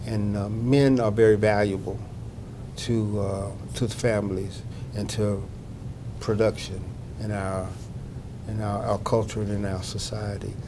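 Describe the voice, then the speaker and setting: A man with a Southern US accent speaks in a fairly low pitch with a monotone, flat intonation, at a fairly slow pace. Long, frequent pauses break up his speech, and room echo is audible. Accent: Southern US (Georgia). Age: 60s. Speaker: health outreach manager. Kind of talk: interview. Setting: conference. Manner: halting, many fillers.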